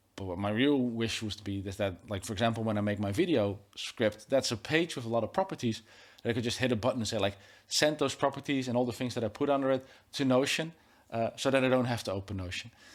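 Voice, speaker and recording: Speaking very fast with a Dutch accent, a man uses a medium pitch and ordinary pitch variation in a very clean recording with a silent background. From Netherlands. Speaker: tech YouTuber and podcast host. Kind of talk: casual interview conversation. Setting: studio. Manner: hesitant, many fillers and restarts.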